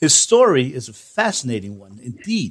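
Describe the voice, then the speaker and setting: With a New Jersey accent, a man speaks at a fairly high pitch, making very wide pitch swings. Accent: American (New Jersey). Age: 60s. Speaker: podcast host. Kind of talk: interview.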